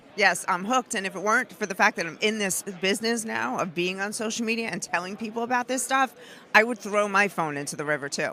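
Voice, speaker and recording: Very fast, animated woman's voice with a New York accent, medium pitch, ordinary pitch variation and a bright, sharp tone. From New York, Brooklyn. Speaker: activist filmmaker and commentator. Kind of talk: interview. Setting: conference floor.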